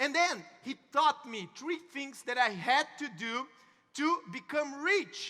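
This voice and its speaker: A man's raised, projected voice at an extremely high pitch, bright and sharp in tone, with a Brazilian Portuguese accent and a very slow pace. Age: young. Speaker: network marketing speaker. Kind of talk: motivational talk. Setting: stage with audience. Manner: halting.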